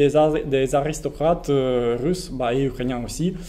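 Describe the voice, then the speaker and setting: A man talks with a non-native accent. His fairly high pitch shows ordinary variation. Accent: foreign accent in French. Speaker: researcher, panel speaker. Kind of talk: public talk at a political meeting. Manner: halting, many hesitations and repetitions.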